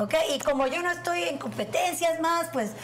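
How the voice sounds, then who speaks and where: A woman's voice swings very widely in pitch. Noticeable background noise is present. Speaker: host, guest. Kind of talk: casual chat. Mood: upbeat, warm. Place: kitchen.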